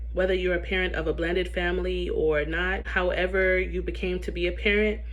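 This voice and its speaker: Fairly quick speech with audible room echo and noticeable background noise. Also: woman. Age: 30s. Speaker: parenting coach. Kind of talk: casual talk to camera.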